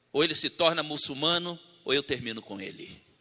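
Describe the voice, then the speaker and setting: A man with a fairly high pitch and a bright, sharp tone talks at a moderate pace with ordinary pitch variation, recorded very cleanly against a silent background. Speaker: preacher. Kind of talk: sermon.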